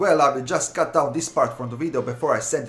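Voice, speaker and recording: Music plays in the background. Over it, a man talks at a fairly quick pace. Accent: European. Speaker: YouTube content creator. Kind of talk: casual video segment. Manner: animated.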